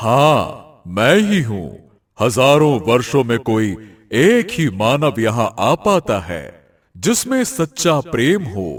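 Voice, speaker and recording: Using a cartoonish character voice, a man talks at a medium pitch. He goes very slowly on a very clean recording with a silent background. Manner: grave, imposing.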